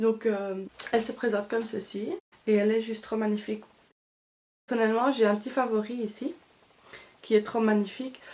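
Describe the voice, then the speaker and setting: A woman talks fairly quickly in a fairly high voice. Her intonation is flat and monotone. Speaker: beauty vlogger. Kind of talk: product review vlog. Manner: halting, many fillers.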